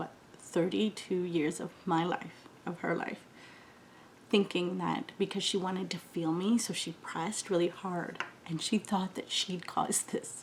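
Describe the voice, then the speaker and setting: A woman at medium pitch, fairly slow in pace with fairly even intonation, over noticeable background noise. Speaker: beauty vlogger. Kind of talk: casual chat.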